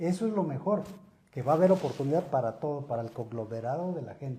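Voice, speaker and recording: A man speaks very fast at a fairly high pitch, his intonation lively. His tone is dark and mellow and somewhat breathy. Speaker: lawyer and author. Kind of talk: interview.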